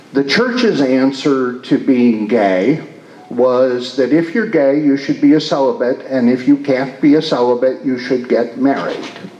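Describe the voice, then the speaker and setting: With an American accent, a man speaks at a medium pitch and a fairly slow pace, showing ordinary pitch variation and very even loudness. Room echo is audible, and background noise is noticeable. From Michigan, Detroit. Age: 60s. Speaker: retired priest and community leader. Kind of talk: interview. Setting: stage with audience. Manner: halting.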